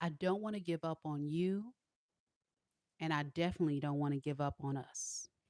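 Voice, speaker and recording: A woman with a very deep, low pitch speaks at a moderate pace with ordinary pitch variation. The sound is dry and close with no echo, and her pauses are long and frequent. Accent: slight country. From Southern California. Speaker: tarot reader. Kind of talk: live tarot reading stream. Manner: casual, chatty.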